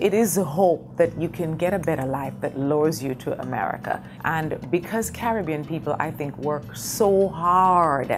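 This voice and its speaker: Music sits in the background as a woman with a Jamaican accent speaks at a moderate pace. Her very deep, low voice carries lively intonation. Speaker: actress and playwright. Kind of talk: interview.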